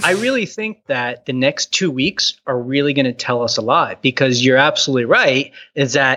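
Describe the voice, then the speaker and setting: A man with an American accent speaks at a fairly high pitch in a bright, sharp tone. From Texas, Houston. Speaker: video blogger and entrepreneur. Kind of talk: casual chat. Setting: phone call.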